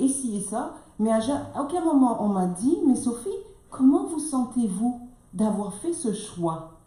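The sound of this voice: Speaking at a moderate pace, a woman has a fairly high pitch with big pitch swings and a dark, mellow tone. Audible room echo can be heard.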